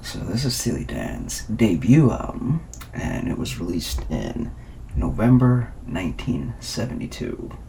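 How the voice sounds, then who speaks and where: Soft-spoken and very deep in pitch, a man makes very wide pitch swings amid noticeable background noise and audible room echo. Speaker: ASMR youtuber. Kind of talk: ASMR music review. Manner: hesitant with many fillers.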